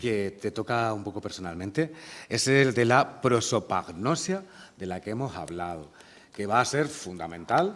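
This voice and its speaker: At a fairly slow pace, a man speaks at a medium pitch with very wide pitch swings. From Granada province, Spain. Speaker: poet and interviewer. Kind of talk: public literary conversation. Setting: university lecture hall with audience.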